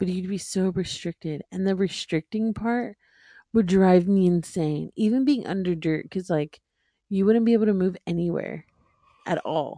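At a moderate pace and with ordinary pitch variation, this is an unremarkable speaking voice, recorded dry and close with no echo. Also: woman, medium pitch for a woman. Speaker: podcast co-host. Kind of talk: casual chat.

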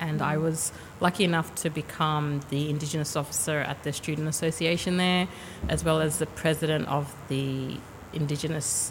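A woman talks at a moderate pace with an Australian accent. Her pitch is very deep and low. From Sydney, Australia. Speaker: university HR manager. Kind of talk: casual interview. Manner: halting.

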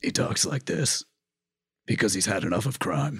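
A man's put-on character voice, gravelly and croaky, medium in pitch, at a moderate pace with very even loudness

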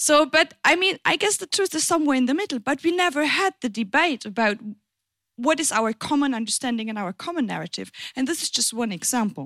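Her voice is high and bright with a sharp tone, swinging very widely in pitch at a fairly quick pace. The woman's recording is very clean, with a silent background and a dry, close sound with no echo. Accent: German. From Germany, German-French border region. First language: German. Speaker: politician. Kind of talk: panel discussion.

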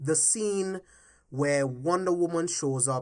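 The recording is very clean with a silent background as a man speaks at a very slow pace with ordinary pitch variation. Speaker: podcast host and movie commentator. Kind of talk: angry rant about movie plot holes, casual and profane. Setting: home-recorded solo podcast. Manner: heated, emphatic, exasperated, ranting with cursing; repetitive, pressing, mimicking studio executives.

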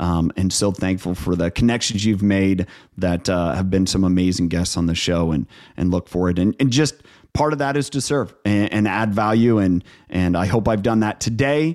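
A man with a Midwestern American accent talks at a moderate pace in a very deep, low pitch, with ordinary pitch variation and very even loudness. The recording is very clean, with a silent background. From Northeast Ohio. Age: 40s. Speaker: leadership coach and entrepreneur. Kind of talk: interview conversation.

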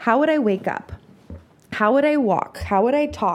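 Using an ordinary speaking voice, a woman talks at a moderate pace with ordinary pitch variation. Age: 30s. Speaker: self-love podcast host. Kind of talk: casual monologue. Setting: recording while traveling.

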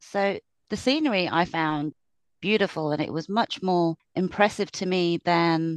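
At a moderate pace, a woman with a British accent talks in a fairly low pitch, with a dry, close sound and no echo. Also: quiet background.

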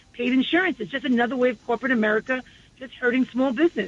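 Talking at a very fast pace, a woman with a high pitch speaks in a New York accent. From New York City, Far Rockaway, Queens. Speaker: state legislator. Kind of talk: radio interview.

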